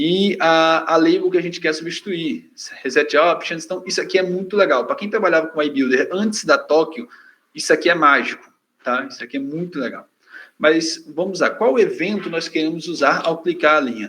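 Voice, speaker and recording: A man talks at a moderate pace in a high pitch with ordinary variation. His tone is bright and sharp. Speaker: software trainer. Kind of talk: technical tutorial presentation.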